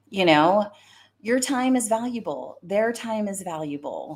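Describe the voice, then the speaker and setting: A woman with an American accent speaks in an animated tone at a fairly slow pace and a medium pitch, on a very clean recording with a silent background. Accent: Southern US, comes out when fired up. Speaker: career coach and recruiter. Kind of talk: live stream talk. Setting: live stream.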